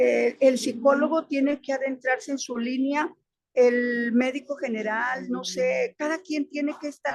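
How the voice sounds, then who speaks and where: A woman speaks with a high pitch and fairly even intonation. Her pace is fairly slow. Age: 60s. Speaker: primary school teacher, webinar participant. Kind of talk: audience comment in webinar Q&A. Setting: online webinar.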